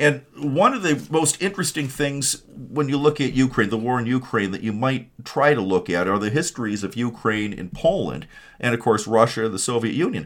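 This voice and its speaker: Speaking at a moderate pace with hardly any pauses, a man has an Upper Midwest accent. His intonation is lively. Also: medium pitch for a man. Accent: Upper Midwest American. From Michigan (Kalamazoo). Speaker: political podcast host. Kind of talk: political commentary monologue. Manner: halting, many repetitions and fillers.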